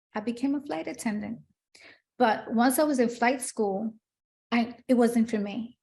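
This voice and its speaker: A woman with a Spanish accent speaks at a moderate pace and fairly high pitch, with ordinary pitch variation and long, frequent pauses. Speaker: retired police detective turned preschool teacher and children's author. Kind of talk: interview.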